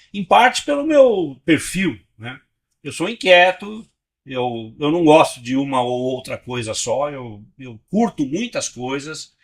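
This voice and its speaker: Over a silent background on a very clean recording, a man with a fairly high pitch talks at a very slow pace, with very wide pitch swings and big swings in loudness. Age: 70s. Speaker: physician, pre-hospital care veteran. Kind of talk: interview. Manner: halting, many repetitions.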